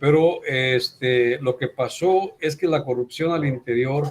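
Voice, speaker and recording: A male speaker, somewhat breathy, his pitch shifting in a typical way. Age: 60s. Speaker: teacher. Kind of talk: online class discussion. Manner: animated.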